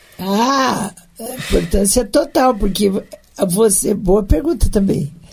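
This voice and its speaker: Music plays in the background as a woman talks at a very slow pace with lively intonation. Her pitch is medium, and her loudness swings widely. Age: 60s. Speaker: former city councillor and municipal secretary. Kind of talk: interview.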